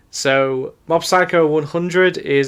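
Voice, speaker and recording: A man talks with a Yorkshire accent and ordinary pitch variation. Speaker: anime podcast co-host. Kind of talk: casual podcast discussion. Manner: halting, many fillers and restarts.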